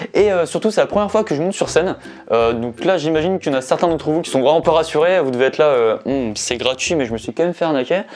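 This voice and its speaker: A man talks at a very fast pace with lively intonation and a fairly high pitch. Noticeable background noise sits behind him. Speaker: YouTuber. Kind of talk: casual vlog with stand-up rehearsal. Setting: cellar. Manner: low energy.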